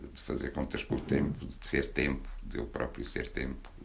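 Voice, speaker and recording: A man's monotone, flat-sounding voice, with noticeable background noise and audible room echo. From Portugal, Porto. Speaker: poet. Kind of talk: book launch talk. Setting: bookshop with audience.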